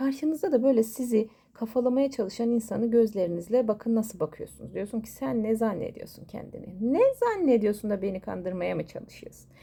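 A woman talks at a fairly quick pace, with hardly any pauses, in a fairly high pitch. Her tone is animated, with ordinary pitch variation. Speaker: coffee cup fortune teller. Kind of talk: astrology fortune reading monologue. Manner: fast.

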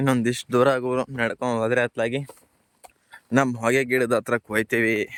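A man's medium-pitched voice, monotone and flat in intonation, in a dry, close sound with no echo. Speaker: village farmer vlogger. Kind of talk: walking vlog narration. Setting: outdoors walking through fields. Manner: casual, conversational.

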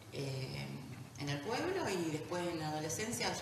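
The speech comes at a moderate pace with audible room echo. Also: woman.

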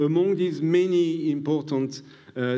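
Against a quiet background, a man with a French accent talks at a very slow pace and fairly high pitch, his tone dark and mellow, with ordinary pitch variation. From France. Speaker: pediatrician and immunologist, prize laureate. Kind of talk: lecture. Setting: stage with audience. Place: hall. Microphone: podium.

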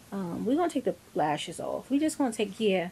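A woman with a dark, mellow tone and vocal fry speaks with lively intonation. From New York, the Bronx. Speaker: lifestyle vlogger. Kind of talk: casual vlog talk to camera. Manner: animated.

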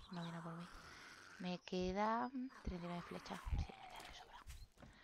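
A woman talks fairly slowly, her medium pitch varying in an ordinary way. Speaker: gaming youtuber. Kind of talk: gameplay commentary. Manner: animated.

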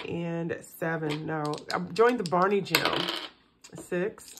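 The intonation stays fairly even while loud background noise runs underneath. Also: woman. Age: middle-aged. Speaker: personal finance vlogger. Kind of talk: casual chat while cash stuffing. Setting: home recording. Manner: relaxed, with fillers and repetitions. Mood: relaxed, upbeat. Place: home room. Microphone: phone near.

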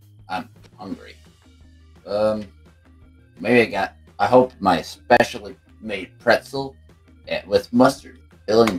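A man puts on a character voice at a medium pitch, speaking fairly slowly with long, frequent pauses. Faint music plays in the background. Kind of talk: Minecraft role play. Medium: role play. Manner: angry, growling.

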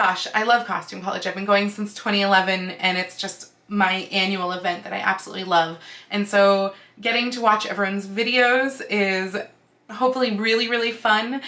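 A woman talks at a moderate pace. Her intonation stays fairly even. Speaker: costuming vlogger. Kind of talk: casual vlog chat. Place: home room.

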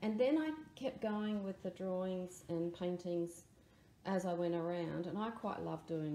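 At a moderate pace with ordinary pitch variation, the voice comes through light background noise and audible room echo. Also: woman. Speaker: art teacher. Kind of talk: tutorial.

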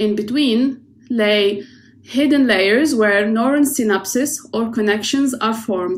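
A somewhat breathy voice at a fairly slow pace, with ordinary pitch variation. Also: woman, fairly high pitch for a woman. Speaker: oceanographer. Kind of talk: prerecorded presentation. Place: home room. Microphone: webcam.

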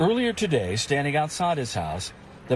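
Somewhat breathy and fairly high in pitch, a man speaks with a dry sound with no echo over light background noise. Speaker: TV news reporter. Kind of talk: TV news report.

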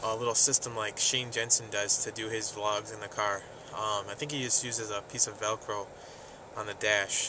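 The speech moves at a fairly quick pace with fairly even intonation, and the sound is dry with no echo, with noticeable background noise. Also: man. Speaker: vlogger. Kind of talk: casual vlog chat. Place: car. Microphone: phone near.

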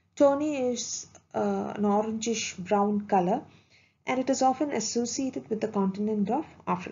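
Speaking at a moderate pace, a woman with a fairly high pitch and ordinary pitch variation sounds somewhat breathy. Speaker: video lecturer. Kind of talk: lecture. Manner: formal; measured.

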